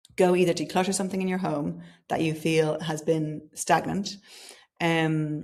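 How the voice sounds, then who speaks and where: With vocal fry and flat, monotone intonation, a woman speaks at a very deep, low pitch. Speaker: podcast host. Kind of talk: solo podcast monologue.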